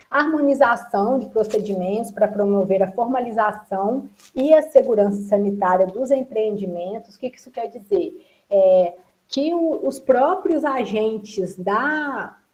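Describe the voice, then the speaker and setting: This woman has a normal speaking voice, fairly high in pitch, with lively intonation. She talks at a fairly slow pace, and her loudness swings widely. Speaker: workshop presenter on food legislation. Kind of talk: online workshop lecture.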